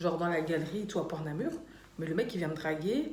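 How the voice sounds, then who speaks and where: Recorded with audible room echo and noticeable background noise, a woman talks at a fairly quick pace in a fairly low pitch. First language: Dutch (speaking French). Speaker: YouTuber. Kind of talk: casual vlog chat.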